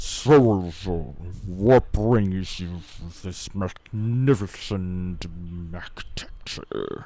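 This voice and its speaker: In a put-on character voice, a man booms at a very slow pace with a very deep, low pitch. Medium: actual play. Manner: theatrical, teasing.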